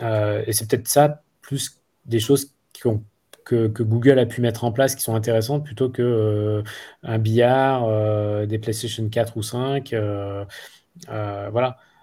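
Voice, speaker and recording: A man's dark, mellow voice at medium pitch, somewhat breathy, with fairly even intonation and a very slow pace, in a very clean recording with a silent background. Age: 40s. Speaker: school director, former entrepreneur. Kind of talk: interview. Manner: halting.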